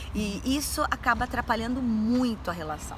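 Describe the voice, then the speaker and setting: The talking proceeds at a moderate pace. Background noise is noticeable throughout. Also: woman. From Brazil, Campinas, São Paulo state. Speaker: university lecturer. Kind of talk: interview.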